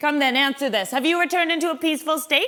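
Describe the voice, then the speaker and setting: A woman puts on a high-pitched character voice. She rattles along at a very fast pace. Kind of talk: comic stage acting. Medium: stage play.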